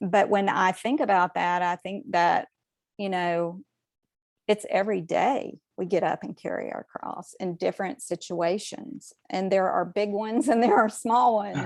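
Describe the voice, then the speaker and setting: The sound is dry and close, with no echo. A woman speaks at a moderate pace and medium pitch with ordinary pitch variation. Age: 60s. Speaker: podcast panelist. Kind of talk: casual chat. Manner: halting.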